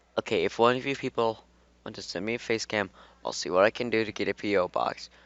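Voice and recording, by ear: The passage is read aloud in a natural voice.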